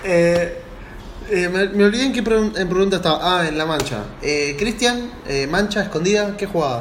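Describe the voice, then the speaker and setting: Against noticeable background noise and audible room echo, a man talks at a moderate pace in a high pitch with ordinary pitch variation. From Buenos Aires, Argentina. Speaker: podcast host. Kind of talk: casual chat. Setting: video call.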